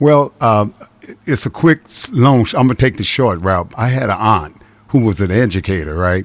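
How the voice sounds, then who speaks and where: At a moderate pace, a man with an American accent speaks in a fairly low voice with lively intonation. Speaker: voiceover artist. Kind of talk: interview. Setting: radio studio. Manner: halting.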